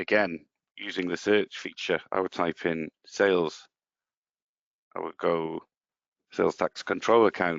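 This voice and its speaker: A man speaks at a moderate pace, fairly low in pitch, with ordinary pitch variation. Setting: webinar demonstration.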